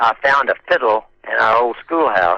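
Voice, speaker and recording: A man with an American accent talks at a moderate pace in a dry, close sound with no echo. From Oklahoma. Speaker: 1960s rock singer and guitarist. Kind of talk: interview.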